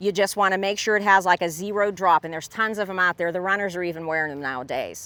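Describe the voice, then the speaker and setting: With an American accent, a woman speaks at a medium pitch in a bright, sharp tone. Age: 60s. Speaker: competitive race walker. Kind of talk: advice talk to camera. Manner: conversational, with fillers.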